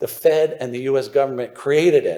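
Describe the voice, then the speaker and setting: Speaking in a Philadelphia accent, a man talks at a moderate pace in an animated tone. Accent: Philadelphia American. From US, suburban Philadelphia. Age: 60s. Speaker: newsletter writer on mining investment. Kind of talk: conference presentation. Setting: stage with audience.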